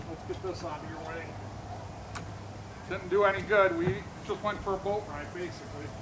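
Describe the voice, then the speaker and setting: A man with a high pitch, a fairly quick pace and ordinary pitch variation, big swings in loudness, long and frequent pauses, and noticeable background noise. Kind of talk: casual talk.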